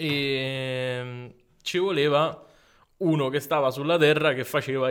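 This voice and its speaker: Keeping a fairly even intonation, a man of medium pitch speaks at a very slow pace. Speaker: podcast host. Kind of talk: casual chat. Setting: studio. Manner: joking.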